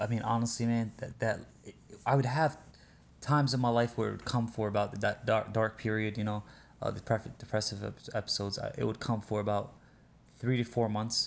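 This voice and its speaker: A man talks at a fairly quick pace with an Arabic accent. His intonation stays monotone and flat. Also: medium pitch for a man. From Libya, then Europe, North Africa and US East Coast. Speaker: podcast guest telling life story. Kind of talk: casual chat. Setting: outdoors retreat by a lake.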